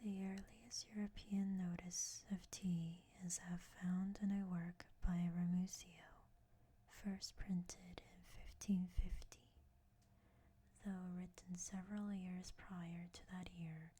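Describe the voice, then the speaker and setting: The voice is whispering and soft-spoken. It moves at a very slow pace. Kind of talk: soft-spoken ASMR reading of a book. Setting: binaural microphone recording. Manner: soft-spoken, whispery.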